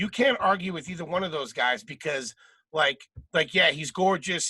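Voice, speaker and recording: Bright and sharp in tone, a man with a Philadelphia accent and a high pitch talks at a moderate pace in a dry, close sound with no echo. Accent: Philadelphia American. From Philadelphia suburbs, US. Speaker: comedian and podcast host. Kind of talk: casual chat.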